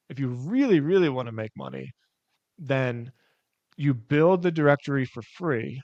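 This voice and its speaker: With an American accent, a man speaks in an animated tone with ordinary pitch variation, the sound dry and close with no echo against a quiet background. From Philadelphia, US. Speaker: entrepreneur, website owner. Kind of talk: interview, casual explanation. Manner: fast.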